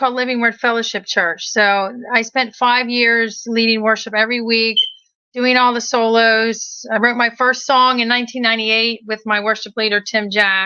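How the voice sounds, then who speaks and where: Fairly high and bright, sharp in tone, a woman with a slight Maryland accent speaks at a moderate pace, keeping her loudness very even and her pitch variation ordinary. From Maryland, Hagerstown. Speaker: inspirational singer. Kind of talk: casual interview chat.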